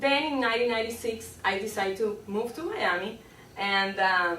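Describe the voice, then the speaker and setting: A woman with a Spanish accent talks at a moderate pace in a fairly high voice with lively intonation. The room echo is audible and background noise is noticeable. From Colombia. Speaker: public speaking club member. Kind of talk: humorous speech.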